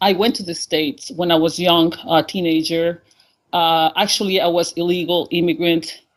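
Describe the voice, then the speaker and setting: Here a woman talks in a Honduran accent. Her pitch is medium and her pace moderate. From Honduras. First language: Spanish. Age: 50s. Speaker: caller. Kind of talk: call-in interview. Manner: halting.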